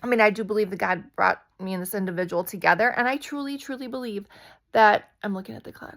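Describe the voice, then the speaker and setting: A quiet woman at medium pitch, very fast pace, ordinary pitch variation and big swings in loudness, on a very clean recording with a silent background. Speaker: spiritual vlogger. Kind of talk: casual vlog monologue. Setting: at home at night.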